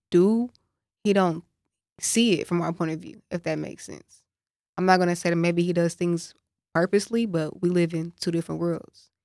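A woman with a fairly low pitch talks at a moderate pace with long, frequent pauses, in a dry, close sound with no echo. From Dallas, Texas. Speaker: singer and songwriter. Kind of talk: casual chat.

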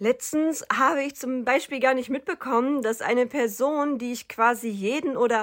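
A high-pitched woman speaks with lively intonation at a moderate pace on a very clean recording with a silent background. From North Rhine-Westphalia, Germany (rural). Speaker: psychotherapy practitioner and podcaster. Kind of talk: personal monologue podcast.

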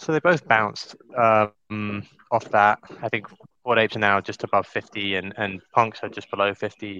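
A man's fairly low voice with a bright, sharp tone comes through dry and close with no echo, at a moderate pace and with ordinary pitch variation. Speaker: crypto show co-host. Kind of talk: casual chat. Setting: co-working space with headset.

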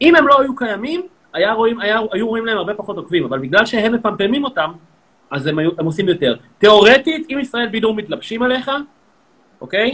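Packed with long, frequent pauses, a man's high voice runs at a very fast pace with very wide pitch swings. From Israel, Tel Aviv. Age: 30s. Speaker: social media comedian. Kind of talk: live social media interview.

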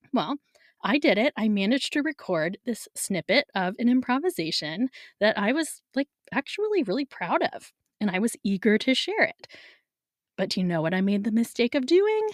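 Very wide pitch swings mark a woman's animated, fairly high-pitched voice in a dry, close sound with no echo and a very clean recording with a silent background. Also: moderate pace. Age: 40s. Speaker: podcast host and music studio teacher. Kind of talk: solo podcast monologue. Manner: animated, frequent laughter.

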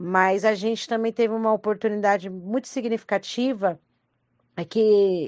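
A woman speaks with a normal speaking voice. Her pitch is medium and her intonation fairly even. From Brazil, Franco da Rocha (São Paulo metro). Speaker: rapper and arts educator. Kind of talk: recorded testimony.

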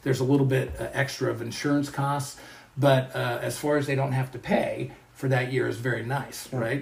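Over noticeable background noise, the speaker talks at a moderate pace with an American accent and monotone, flat intonation. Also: man, medium pitch for a man. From Colorado, US. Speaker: professor. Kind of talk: interview.

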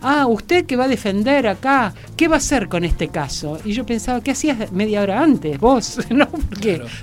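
Over music in the background, a woman with a fairly high pitch talks at a moderate pace with very wide pitch swings and hardly any pauses. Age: 60s. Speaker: philosopher and gender advocate. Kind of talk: interview.

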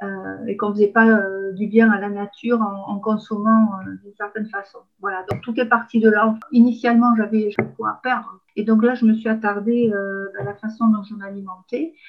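A woman's fairly high voice stays monotone and flat in intonation while its loudness swings widely. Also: moderate pace. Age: 50s. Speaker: eco-friendly shop owner. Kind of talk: interview testimony. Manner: halting, many fillers and repetitions.

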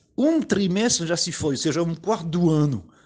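Lively intonation marks this man's high-pitched delivery at a fairly slow pace. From Paris, France. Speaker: podcast host. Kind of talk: casual monologue. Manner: animated.

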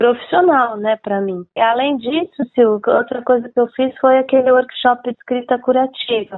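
A woman speaks at a high pitch. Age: 60s. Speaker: book publisher and former journalist. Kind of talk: interview.

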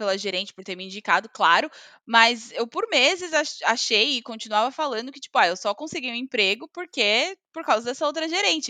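The tone is bright and sharp, with lively intonation. The sound is dry and close, with no echo. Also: woman. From Brazil. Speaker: podcast co-host, marketing worker. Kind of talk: casual chat.

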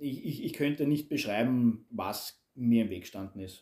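A man speaks very slowly with a dark, mellow tone and ordinary pitch variation. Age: 30s. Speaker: construction foreman. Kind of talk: personal interview testimony.

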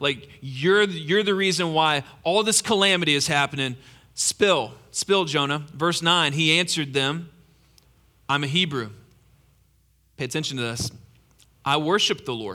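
A man with long, frequent pauses, on a very clean recording with a silent background. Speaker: pastor. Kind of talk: sermon. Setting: church. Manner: informal, enthusiastic.

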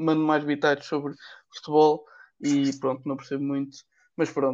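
A man's voice is fairly high in pitch. Behind him the background is quiet. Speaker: podcast co-host, economics student. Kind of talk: casual chat.

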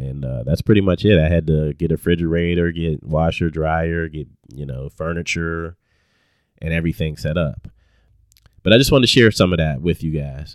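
Very deep and low, a man's voice comes with an American accent and ordinary pitch variation. He speaks at a fairly quick pace on a very clean recording with a silent background. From Pittsburgh, Pennsylvania (Hill District). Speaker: podcast host, IT professional. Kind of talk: motivational monologue. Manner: casual, with many fillers.

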